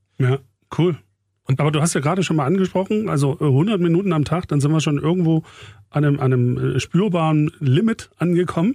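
A man's fairly high-pitched voice with a dark, mellow tone, fairly quick pace, ordinary pitch variation and very even loudness, in a dry, close sound with no echo. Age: 40s. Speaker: radio program director and podcast host. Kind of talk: casual chat.

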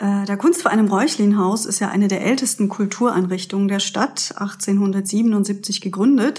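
A woman's medium-pitched voice at a moderate pace, with ordinary pitch variation and noticeable background noise. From Pforzheim, Germany. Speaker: co-host, author of local books. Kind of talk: scripted event listings.

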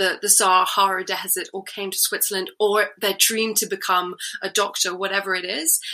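A woman speaks with a British accent. Her intonation stays fairly even. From UK. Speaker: NGO founder and storytelling coach, former chemist. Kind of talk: interview.

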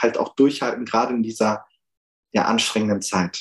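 A man with medium pitch talks at a fairly quick pace in a plain, everyday voice. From Germany, Münsterland. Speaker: activist. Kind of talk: interview. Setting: video call.

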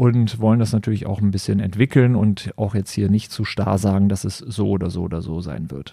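Speaking fairly quickly with hardly any pauses, a man uses a fairly low, dark, mellow voice with ordinary pitch variation. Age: 40s. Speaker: company executive hosting a corporate podcast. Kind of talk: solo podcast introduction. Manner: hesitant, many filler sounds.

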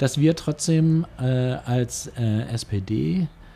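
The voice is that of a man, somewhat breathy. It has a medium pitch and a dark, mellow tone. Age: 60s. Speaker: police officer and local politician. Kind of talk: interview. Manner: hesitant, many filler sounds.

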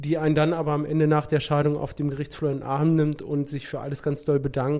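This man's voice sits fairly high, with a dark, mellow tone. His intonation is monotone and flat. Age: 30s. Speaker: lawyer and notary. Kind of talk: casual interview.

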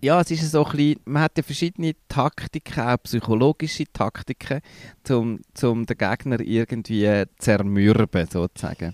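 A man speaks at a medium pitch and moderate pace with lively intonation, an ordinary speaking voice. The recording is very clean with a silent background, dry and close with no echo. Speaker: podcast co-host, improv theatre trainer. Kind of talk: casual chat.

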